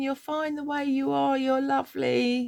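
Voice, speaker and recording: A woman with a southern English accent talks at a fairly slow pace. Her pitch makes very wide swings. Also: dry, close sound with no echo, very clean recording, silent background. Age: 60s. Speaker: life coach vlogger. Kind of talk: personal vlog monologue. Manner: casual, rambling.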